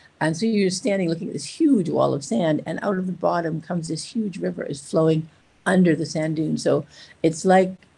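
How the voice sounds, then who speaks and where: A woman speaks at a fairly quick pace with vocal fry, a dark, mellow tone and a fairly low pitch. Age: 60s. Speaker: charity founder and expedition rider. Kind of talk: casual interview.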